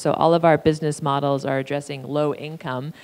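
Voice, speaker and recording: The woman talks at a moderate speed in a very deep, low pitch, her intonation fairly even. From Canada. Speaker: panel moderator. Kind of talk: moderated panel discussion. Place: hall. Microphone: handheld.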